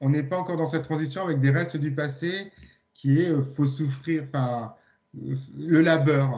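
At a fairly slow pace, a man speaks in a fairly high, somewhat breathy voice with fairly even intonation. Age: 50s. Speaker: sound therapist and hypnotherapist. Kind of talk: casual chat.

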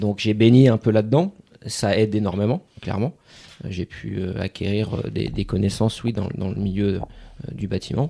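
With a dark, mellow tone and fairly low pitch, a man talks at a moderate pace with ordinary pitch variation, leaving long, frequent pauses. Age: 30s. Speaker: former firefighter turned property investor. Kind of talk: casual interview. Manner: hesitant, many fillers.

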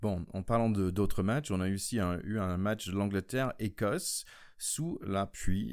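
A man with a non-native accent and a fairly low pitch talks at a fairly slow pace with ordinary pitch variation, in a very clean recording with a silent background. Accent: own accent, apparently non-native French. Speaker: podcast host, former American football player. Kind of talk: casual chat.

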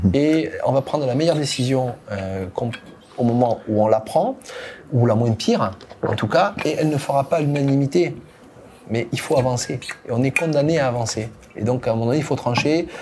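Against noticeable background noise, a man talks at a moderate pace and a medium pitch. His pitch variation is ordinary, and he takes long, frequent pauses. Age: 50s. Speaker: company founder and CEO. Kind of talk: podcast interview. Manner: halting, with frequent repetitions.

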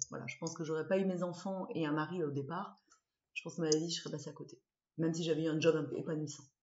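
A somewhat breathy woman's voice at a very fast pace. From southwest France, Dordogne (Bergerac). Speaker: former fashion journalist, rugby player's wife. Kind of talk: interview. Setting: at home. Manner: animated.

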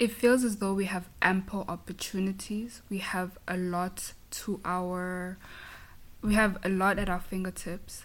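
Speaking with a Zulu accent, a woman keeps a fairly slow pace. Her voice sits at a medium pitch with flat, monotone intonation. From South Africa, KwaZulu-Natal. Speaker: auditor at an accounting firm. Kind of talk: interview conversation.

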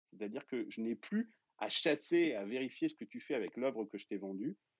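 With a dry, close sound and no echo, a man of medium pitch speaks with lively intonation. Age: 40s. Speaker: entrepreneur and investor. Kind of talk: casual interview explanation. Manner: hesitant with many fillers.

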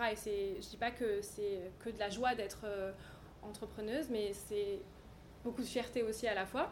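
A fairly high-pitched woman's voice with fairly even intonation and long, frequent pauses, amid noticeable background noise and audible room echo. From French Riviera, Cannes. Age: 30s. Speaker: fashion stylist and business founder. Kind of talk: interview. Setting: showroom.

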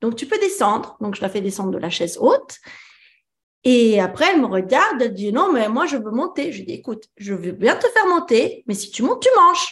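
Her voice is high-pitched, and the woman talks fairly quickly with very wide pitch swings. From France. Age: 30s. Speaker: mother and child sleep consultant. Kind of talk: coaching conversation. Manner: hesitant, many fillers.

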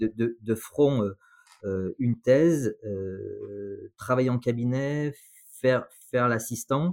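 On a very clean recording with a silent background and a dry, close sound with no echo, a man with a medium pitch speaks at a very slow pace with ordinary pitch variation. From France, Saint-Étienne. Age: 40s. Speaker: dentist. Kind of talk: interview. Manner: halting, many repetitions.

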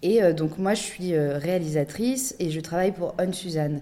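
A woman talks at a fairly slow pace with a dark, mellow tone and ordinary pitch variation. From Paris, France. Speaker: documentary director and podcaster. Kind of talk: podcast interview.

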